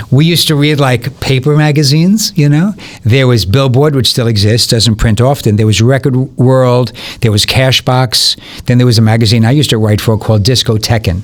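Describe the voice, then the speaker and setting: A man with a plain, everyday voice speaks at a medium pitch and a fairly quick pace. His loudness stays very even, with ordinary pitch variation. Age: 60s. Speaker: music promoter and former DJ. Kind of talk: podcast interview. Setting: studio.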